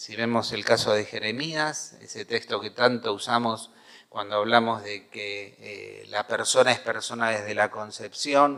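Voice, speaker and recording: In a Rioplatense accent, a man at a medium pitch speaks fairly slowly with fairly even intonation and big swings in loudness. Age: 60s. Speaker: pastor. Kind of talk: sermon.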